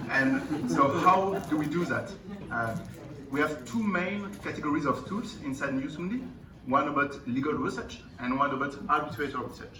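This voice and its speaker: With a French accent, the speaker uses lively intonation at a moderate pace. There is noticeable background noise and audible room echo. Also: man, fairly high pitch for a man. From France. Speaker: company founder and CEO. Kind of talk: conference presentation. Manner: hesitant, many fillers.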